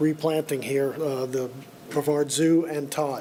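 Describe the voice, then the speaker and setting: A man with a fairly high pitch speaks while background noise is clearly heard. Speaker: clam farmer. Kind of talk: public comment at meeting.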